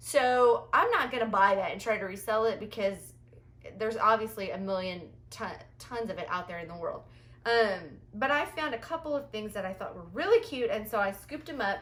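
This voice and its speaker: Speaking at a fairly quick pace, a woman uses lively intonation and a fairly high pitch. Her loudness swings widely. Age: 40s. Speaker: thrift reseller vlogger. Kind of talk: haul video monologue. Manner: animated.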